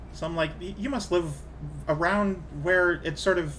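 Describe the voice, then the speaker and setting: A man talks with an American accent. Room echo can be heard. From Canada. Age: 30s. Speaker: video game streamer. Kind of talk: casual live-stream chat. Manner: casual, filler-heavy.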